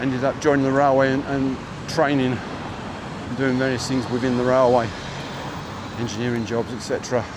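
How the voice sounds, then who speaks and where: Male voice of medium pitch at a moderate pace, with noticeable background noise and audible room echo. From southeast England, Chatham, Kent. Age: 60s. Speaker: walking livestreamer. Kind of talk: casual chat. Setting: outdoors. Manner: halting.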